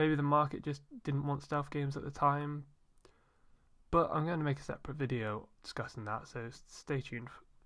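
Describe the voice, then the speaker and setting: A fairly quick voice with a British accent over a quiet background. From Britain. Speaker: gaming YouTuber. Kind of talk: scripted review narration.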